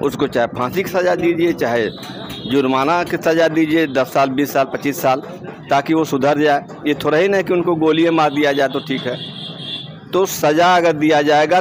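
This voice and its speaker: There is noticeable background noise as a man talks. His pitch is fairly high, with ordinary variation. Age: 60s. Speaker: local resident interviewed on the street. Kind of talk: street interview, political opinion. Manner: animated.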